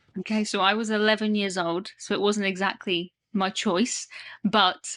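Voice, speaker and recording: A woman with a British accent talks at a moderate pace and medium pitch, her tone bright and sharp. Her intonation stays monotone and flat over a quiet background. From UK. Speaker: cruise content creator. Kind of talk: casual chat.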